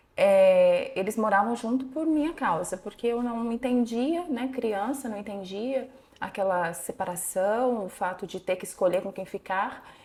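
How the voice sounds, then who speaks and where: A woman with an unremarkable speaking voice talks at a fairly slow pace in a fairly high pitch, her intonation lively and her speech hardly broken by pauses. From interior of São Paulo state, Brazil. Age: 40s. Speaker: psychologist. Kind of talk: interview testimony.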